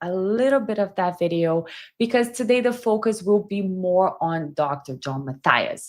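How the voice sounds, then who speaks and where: A woman with a strong non-native accent talks at a fairly slow pace, her medium pitch showing ordinary variation. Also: very clean recording, silent background. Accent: heavy foreign. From Brazil. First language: Portuguese. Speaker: body language commentator. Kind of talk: livestream commentary.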